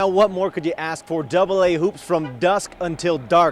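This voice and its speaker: A man with a high voice and ordinary pitch variation talks at a moderate tempo, noticeable noise audible behind him. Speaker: sports anchor and reporter. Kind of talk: TV sports news anchor/reporter delivery.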